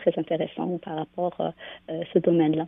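This is a woman's voice. Her pitch is fairly low. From Algeria. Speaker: business association founder. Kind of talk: radio interview. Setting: phone call. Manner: hesitant with many fillers.

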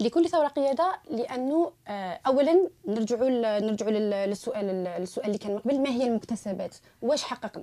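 Lively intonation in a woman's high voice, delivered at a moderate pace. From Algeria, Tiaret (western interior). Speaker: human rights activist. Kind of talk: radio panel discussion.

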